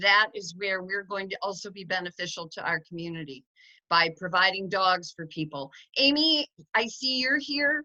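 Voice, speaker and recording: A loud woman's voice, medium in pitch, with a bright, sharp tone and lively intonation. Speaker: dog sanctuary founder. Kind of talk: online informational meeting. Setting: video call. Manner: fast.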